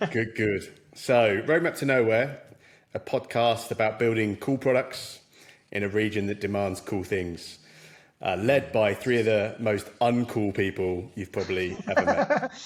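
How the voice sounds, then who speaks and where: In a very clean recording with a silent background, a man talks at a fairly slow pace. His is an ordinary speaking voice, medium in pitch with ordinary pitch variation. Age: middle-aged. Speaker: podcast co-host. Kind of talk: casual podcast chat.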